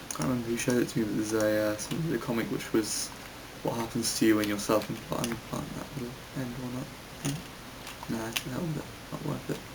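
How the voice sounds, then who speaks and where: A man talks quietly at a very fast pace, with long, frequent pauses, in a British accent. Noticeable background noise and audible room echo fill the recording. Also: medium pitch for a man, ordinary pitch variation. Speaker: gaming YouTuber, game developer. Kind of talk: gameplay commentary. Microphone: voice sounds quiet.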